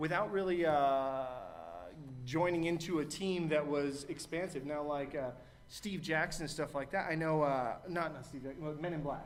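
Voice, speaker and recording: Over noticeable background noise and audible room echo, a man with a fairly high pitch speaks at a moderate pace with fairly even intonation. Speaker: game master at a convention panel. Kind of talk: panel discussion. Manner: loud.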